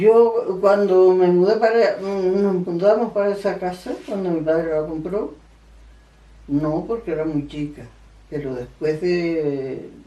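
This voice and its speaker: Room echo is audible around a woman's medium-pitched voice. She speaks at a very slow pace with ordinary pitch variation. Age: 80s+. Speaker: elderly interviewee sharing memories. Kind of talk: oral history interview. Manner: halting, with repetitions.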